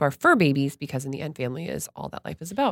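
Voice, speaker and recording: A woman with an American accent talks at a very fast pace, with a dry, close sound and no echo. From Florida (Stuart). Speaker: guest co-host. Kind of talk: casual chat.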